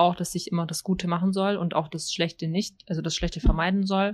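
A woman speaks in a monotone, flat intonation on a very clean recording with a silent background. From Germany. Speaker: teacher. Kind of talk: casual chat.

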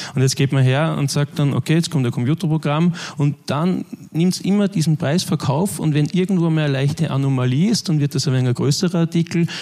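A man's fairly high pitch with a dark, mellow tone and very even loudness. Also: ordinary pitch variation, fairly quick pace. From Austria (Linz, Upper Austria). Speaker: media tech manager. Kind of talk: conference talk.

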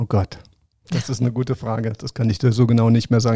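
The dry, close recording with no echo carries a man's dark, mellow voice at medium pitch. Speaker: sports journalist and former Paralympic swimmer. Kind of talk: interview.

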